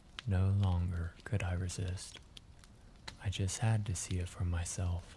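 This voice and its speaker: A man with a very deep, low pitch speaks in a relaxed, calm tone with fairly even intonation. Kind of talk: sleep story.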